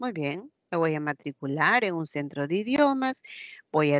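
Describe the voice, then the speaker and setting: A woman with an Andean accent speaks at a very slow pace in a fairly low pitch with very wide pitch swings, the sound dry and close with no echo over a quiet background. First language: Quechua (speaking Spanish). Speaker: teacher. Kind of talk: lecture. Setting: online class, camera off.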